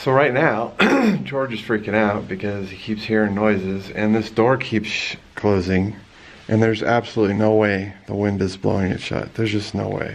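Here a man talks at a moderate pace. His pitch is fairly low and his intonation fairly even. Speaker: vlogger exploring a house. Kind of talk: casual vlog chat. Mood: playful, mildly spooked. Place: home room. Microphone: phone near.

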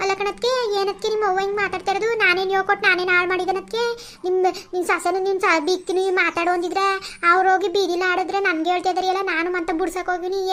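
A woman puts on a cartoonish character voice at an extremely high pitch, flat and monotone. She talks at a fairly quick pace with music in the background. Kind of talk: rustic family comedy. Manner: whining, plaintive.

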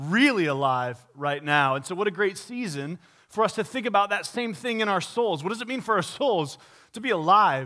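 Over a quiet background, a man talks at a moderate pace in a raised, projected voice with a bright, sharp tone. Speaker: pastor. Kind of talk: sermon. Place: church. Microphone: headset.

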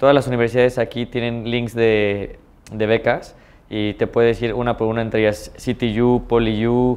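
With a Mexican accent, a man speaks at a moderate pace and medium pitch, his intonation monotone and flat. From Mexico, San Luis Potosí. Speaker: businessman. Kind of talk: interview. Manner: hesitant, many fillers. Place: office. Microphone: lapel.

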